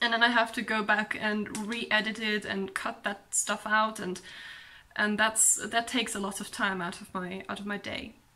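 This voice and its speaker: This woman talks at a fairly high pitch in a flat, monotone delivery. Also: moderate pace, big swings in loudness. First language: not English, also speaks German. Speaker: book vlogger. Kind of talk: casual vlog monologue. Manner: hesitant, many pauses and ums.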